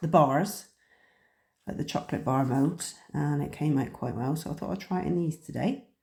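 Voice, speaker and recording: A woman speaks at a fairly quick pace in a somewhat breathy voice with a dark, mellow tone. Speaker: crafting youtuber. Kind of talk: tutorial. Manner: casual, hesitant with fillers.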